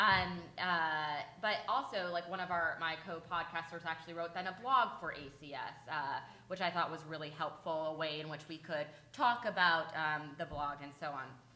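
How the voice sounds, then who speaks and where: With audible room echo around her, a woman talks in a fairly low voice. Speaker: legal advocacy panelist and podcaster. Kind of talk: conference panel talk. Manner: fast.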